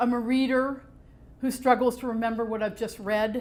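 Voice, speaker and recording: A woman is speaking. Her pitch sits fairly high for a woman. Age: 60s. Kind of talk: public talk.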